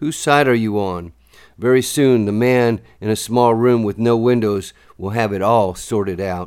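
On a very clean recording with a silent background, a man in a normal speaking voice speaks at a medium pitch and a fairly slow pace, with ordinary pitch variation. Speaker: poet. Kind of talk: poetry reading, spoken word. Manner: measured, rhythmic, deliberate delivery with pointed pauses; serious, urgent, warning tone.

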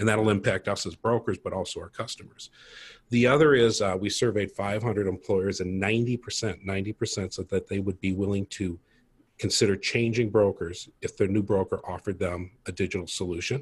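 A somewhat breathy man with an American accent, fairly low in pitch, fairly even in intonation and fairly quick in pace, on a very clean recording with a silent background. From Minnesota, US Midwest. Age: 50s. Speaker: tech startup co-founder, insurance broker. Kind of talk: casual interview.

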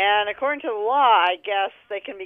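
With an American accent, a woman talks at a fairly quick pace in a normal speaking voice, her pitch varying in an ordinary way. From New York State. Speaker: caller. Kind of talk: call-in question.

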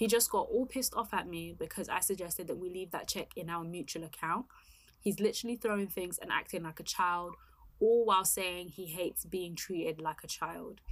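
In a very clean recording with a silent background, a woman speaks at a fairly quick pace in an ordinary speaking voice, at medium pitch with ordinary pitch variation. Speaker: podcast host. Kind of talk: casual chat. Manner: chatty, easily distracted.

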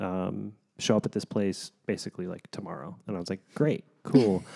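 Here a man talks at a moderate pace. His tone is dark and mellow. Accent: American. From Kansas. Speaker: podcast host. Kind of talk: casual chat between married couple.

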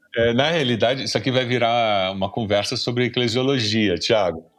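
A man with a plain, everyday voice speaks at a medium pitch with ordinary pitch variation and very even loudness over a quiet background. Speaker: pastor and seminary professor. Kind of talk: casual chat. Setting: video call.

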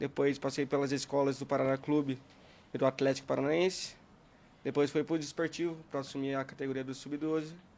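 A fairly high-pitched man, flat and monotone, at a fairly quick pace. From Brazil, interior of São Paulo state. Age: 20s. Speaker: youth football coach. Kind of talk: casual podcast interview. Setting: studio.

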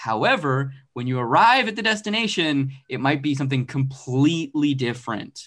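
An ordinary speaking voice: a man with an American accent and a fairly high pitch talks at a moderate pace with lively intonation. He leaves hardly any pauses, and the background is quiet. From Arizona. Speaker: comic book writer and artist. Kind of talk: casual interview chat.

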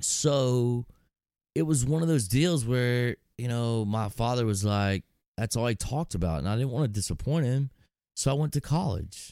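With a Texan accent, a man speaks at medium pitch and a moderate pace in a dark, mellow tone with lively intonation, on a very clean recording with a silent background. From Texas. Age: 40s. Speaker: entrepreneur and hunter. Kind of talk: casual chat.

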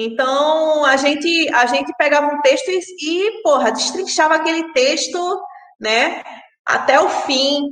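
A woman speaks at a very slow pace and a high pitch. There is audible room echo. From Pernambuco, Brazil. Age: 30s. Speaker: sound artist and sound editor. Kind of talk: interview.

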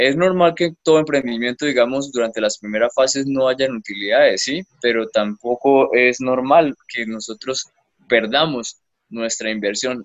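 A man with a medium pitch speaks in a normal speaking voice at a fairly slow pace, with ordinary pitch variation. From Colombia, Bucaramanga (Santander). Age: 20s. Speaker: young entrepreneur, panela producer. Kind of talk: interview. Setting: remote call from an isolated rural area.

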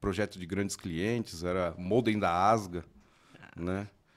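Monotone, flat male speech, pitched very deep and low. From Mauá, São Paulo, Brazil. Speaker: electronics repair technician. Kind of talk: casual chat.

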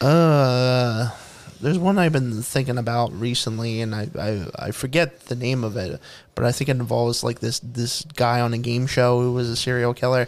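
A man speaks at a medium pitch with a Philadelphia accent. His pace is moderate and his pitch variation ordinary. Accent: Philadelphia-area American. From US, Pennsylvania (Bucks County, near Philadelphia). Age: 30s. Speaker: podcast co-host. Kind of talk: casual chat.

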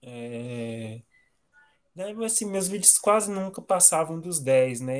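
A man with lively intonation at a very slow pace. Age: 20s. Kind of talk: casual interview.

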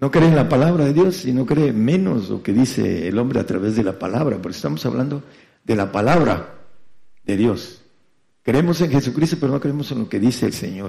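A man's voice with vocal fry, very wide pitch swings and a fairly quick pace. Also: medium pitch for a man. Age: 70s. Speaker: radio preacher. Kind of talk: sermon. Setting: congregation present, broadcast on FM. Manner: halting.

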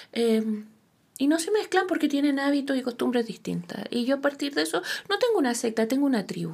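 A woman with a Chilean accent speaks with lively intonation. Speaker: tarot reader and therapist. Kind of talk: interview.

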